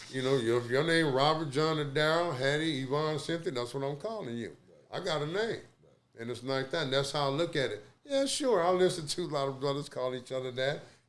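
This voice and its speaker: This man talks fairly quickly in an American accent, with a fairly high pitch and ordinary pitch variation. Audible room echo surrounds his voice. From Texas, Corpus Christi. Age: 60s. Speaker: Navy veteran. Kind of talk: podcast interview, life story. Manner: animated.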